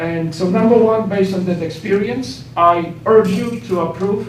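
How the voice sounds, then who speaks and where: Noticeable background noise and audible room echo surround a man speaking at a moderate pace in a high voice with ordinary pitch variation. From Poland. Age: 50s. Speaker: professor. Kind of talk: public comment at council meeting.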